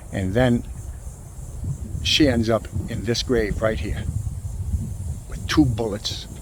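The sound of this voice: A man speaks at a fairly slow pace with a fairly low-pitched voice.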